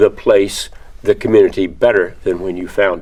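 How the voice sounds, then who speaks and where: A man is speaking. He has an American accent. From Texas (Victoria). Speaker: construction industry alumnus. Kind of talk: interview answers. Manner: halting, many fillers and repeats.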